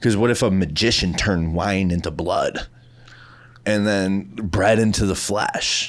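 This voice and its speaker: A man with a Midwestern accent mumbles in a fairly low voice, his pitch varying in an ordinary way. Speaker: podcast co-host. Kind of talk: casual chat. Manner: mumbling.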